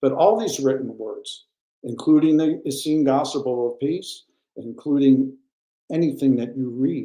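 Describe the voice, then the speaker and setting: The man's pitch is fairly high, his tone dark and mellow. He speaks at a fairly slow pace. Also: ordinary pitch variation. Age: 70s. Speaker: guest speaker on raw food and the Essenes. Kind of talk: livestream interview.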